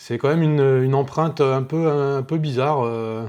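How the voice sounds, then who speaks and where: Ordinary pitch variation and a dark, mellow tone in a man's medium-pitched voice. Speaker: paranormal investigation youtuber. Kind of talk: casual video commentary. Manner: hesitant, many fillers.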